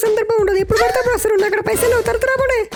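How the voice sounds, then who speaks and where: Over loud background noise, a man does a squeaky, cartoonish character voice at extremely high pitch and a very fast pace. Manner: curt, rude.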